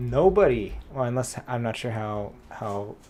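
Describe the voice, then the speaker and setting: Dark, mellow male voice at a fairly slow pace, with audible room echo. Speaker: programming livestreamer. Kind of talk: live coding stream. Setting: livestream. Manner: mumbling at times.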